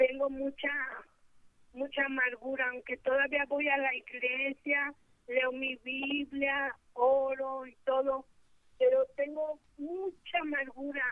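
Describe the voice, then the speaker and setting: A woman's high, monotone voice with flat intonation, very slow pace and big swings in loudness. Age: 60s. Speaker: caller. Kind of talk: call-in question.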